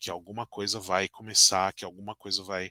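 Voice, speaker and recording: Recorded very clean with a silent background and a dry, close sound with no echo, a man speaks at a moderate pace. His tone is bright and sharp. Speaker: tarot teacher. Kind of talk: lecture. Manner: hesitant, many fillers.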